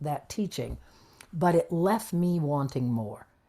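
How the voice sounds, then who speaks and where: A woman with an American accent speaks at a fairly slow pace in an unremarkable speaking voice. Her pitch is fairly low and her intonation lively. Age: 60s. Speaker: spiritual channeler. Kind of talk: interview conversation.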